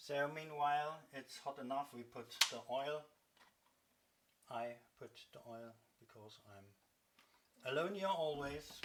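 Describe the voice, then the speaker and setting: Using a German accent, a man speaks at a fairly slow pace. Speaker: cooking vlogger. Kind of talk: cooking tutorial. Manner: halting.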